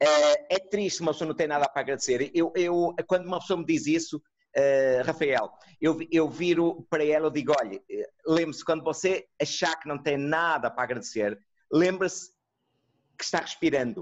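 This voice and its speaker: A man speaks at a moderate pace with a European Portuguese accent. His pitch is fairly high and varies in an ordinary way. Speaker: neuropsychologist. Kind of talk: online lecture and discussion. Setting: video call.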